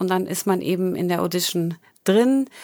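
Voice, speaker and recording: A woman talks at a fairly slow pace with ordinary pitch variation in an unremarkable speaking voice. The recording is very clean, with a silent background. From Thuringia, near Gotha. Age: 30s. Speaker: dancer and online dance instructor. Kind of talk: interview.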